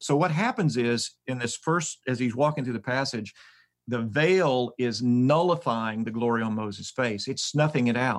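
An ordinary speaking voice from a man, medium in pitch with ordinary pitch variation and a moderate pace, on a very clean recording with a silent background. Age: 60s. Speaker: Bible scholar and professor. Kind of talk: podcast interview on scripture.

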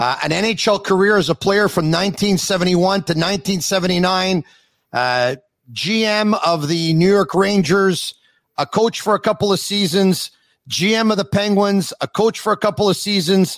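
A man speaks at a moderate pace with a high pitch. His pitch varies in an ordinary way.

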